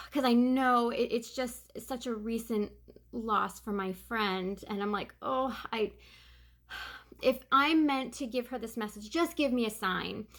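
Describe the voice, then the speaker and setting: In a very clean recording with a silent background, a woman with an American accent speaks at a fairly slow pace and a fairly high pitch, with ordinary pitch variation. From New York. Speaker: psychic medium. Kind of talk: casual vlog monologue.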